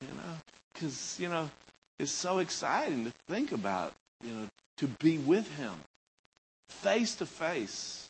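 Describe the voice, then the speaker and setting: A man with an American accent speaks fairly slowly at a fairly high pitch, with vocal fry, very wide pitch swings, big swings in loudness and long, frequent pauses. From United States. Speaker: pastor. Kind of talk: sermon. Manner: rambling.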